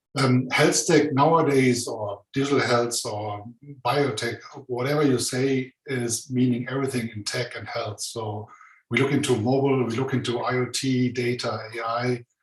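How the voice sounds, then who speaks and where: A man with a German accent speaks at medium pitch and a moderate pace, somewhat breathy and with fairly even intonation. Audible room echo surrounds the voice. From Germany. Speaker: conference host. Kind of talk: conference presentation. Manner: hesitant, many fillers.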